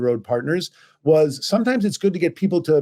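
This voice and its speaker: Very fast and dark, mellow in tone, a man speaks with an American accent. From US Midwest, St. Louis. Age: 60s. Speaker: journalist and editor. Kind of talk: interview conversation. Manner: conversational with frequent fillers and restarts.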